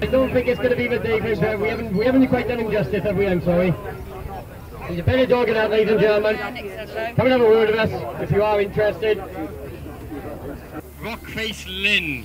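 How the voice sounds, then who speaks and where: A man talks at a fairly quick pace with a high pitch and fairly even intonation, leaving long, frequent pauses. Crowd noise runs in the background. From Wales. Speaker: livestock auctioneer. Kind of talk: auctioneer introducing lots. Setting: outdoors. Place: open country.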